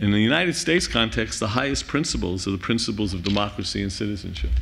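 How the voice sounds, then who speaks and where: In a Bronx accent, a man talks in an animated tone. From New York City (Bronx). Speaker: conference speaker, university center director. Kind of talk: closing plenary remarks. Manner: animated, impassioned.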